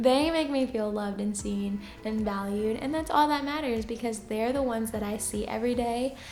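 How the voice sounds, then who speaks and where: A soft-spoken woman talks at a moderate pace with hardly any pauses and a fairly high pitch. Her pitch varies in an ordinary way, with audible room echo. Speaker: teacher and YouTuber. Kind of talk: casual Q&A vlog.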